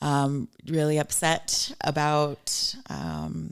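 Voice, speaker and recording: The pace is very slow. The recording is very clean, with a silent background. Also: woman. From Los Angeles, California. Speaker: actor. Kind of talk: casual interview.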